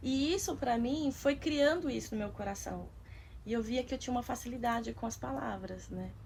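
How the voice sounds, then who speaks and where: A woman is speaking. Her pace is fairly quick. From Osasco, São Paulo, Brazil. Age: 40s. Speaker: author and artist. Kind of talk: documentary interview.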